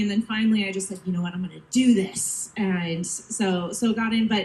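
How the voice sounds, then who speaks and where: Over noticeable background noise, a woman with an American accent speaks at a moderate pace with lively intonation. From United States. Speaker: cruise entertainment staff. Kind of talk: onstage panel talk.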